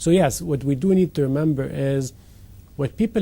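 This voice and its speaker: At a moderate pace, a man talks in a fairly high pitch with ordinary pitch variation, his somewhat breathy voice carrying a dark, mellow tone. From Egypt. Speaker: company CEO. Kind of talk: interview.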